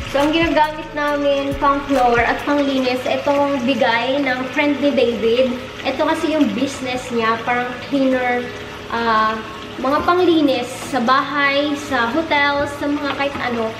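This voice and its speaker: Noticeable background noise accompanies a woman with a high pitch who speaks at a fairly slow pace. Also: fairly even intonation. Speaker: home vlogger. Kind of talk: casual vlog chat. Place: kitchen. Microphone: phone near.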